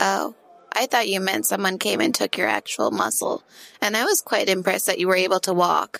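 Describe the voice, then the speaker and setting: A female-sounding, raspy put-on character voice at a medium pitch moves along at a fairly quick pace. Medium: actual play.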